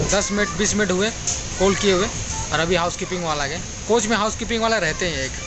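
A man at a moderate pace, dry sound with no echo, crowd noise behind him. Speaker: travel vlogger. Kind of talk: casual vlog chat. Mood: mildly complaining, explanatory. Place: train. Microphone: phone near.

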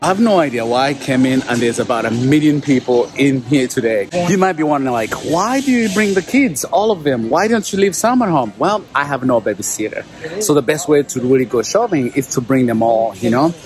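A man talks at a fairly quick pace with hardly any pauses. Clear music plays behind the dry, echo-free sound. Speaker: dad vlogger. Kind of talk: casual vlog chat. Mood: cheerful, lightly amused. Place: shop. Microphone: phone near.

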